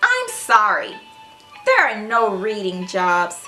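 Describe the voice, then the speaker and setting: Clear music plays in the background. A woman performs a put-on character voice at a fairly high pitch and a fairly slow pace. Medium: read story.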